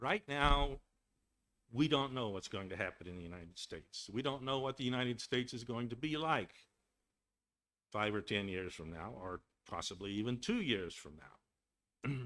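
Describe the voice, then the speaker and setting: A man with an American accent speaks at a moderate pace and medium pitch, his bright, sharp tone carrying lively intonation, big swings in loudness, and long, frequent pauses. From Texas. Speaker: guest speaker. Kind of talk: webinar talk. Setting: webinar.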